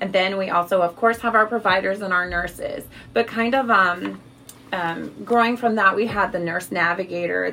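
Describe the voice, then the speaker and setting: An unremarkable speaking voice, a woman with an American accent talks at a moderate pace and medium pitch for a woman, with ordinary pitch variation. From Missouri, US Midwest. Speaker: tumor registrar. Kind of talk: interview.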